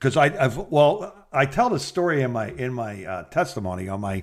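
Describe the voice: Ordinary pitch variation at a moderate pace. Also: man, medium pitch for a man.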